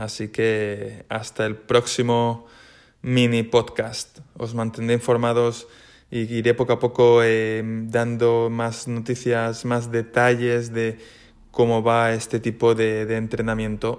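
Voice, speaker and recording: Music plays in the background as a man speaks at a very slow pace, his medium-pitched voice monotone and flat. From Spain, Valencia. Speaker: triathlete. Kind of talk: casual monologue.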